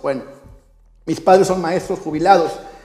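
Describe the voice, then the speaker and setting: A man with a high voice talks over noticeable background noise. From Mexico, Xalapa, Veracruz. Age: 30s. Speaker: life coach, podcast host. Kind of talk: motivational monologue.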